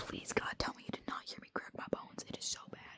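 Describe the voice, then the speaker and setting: Very fast whispering is heard over noticeable background noise. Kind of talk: casual vlog talk to camera. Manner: whispered; casual, rambling.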